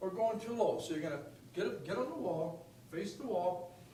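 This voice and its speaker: Audible room echo and noticeable background noise fill the recording. A man's words come at a moderate pace. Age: 70s. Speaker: fitness coach. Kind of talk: tutorial. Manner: animated.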